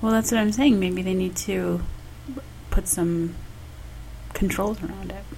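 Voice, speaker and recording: With an American accent, a woman speaks at a fairly slow pace, taking long, frequent pauses. Noticeable background noise and audible room echo are present. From US North, Michigan. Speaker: podcast co-host. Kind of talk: casual chat. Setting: home dining room.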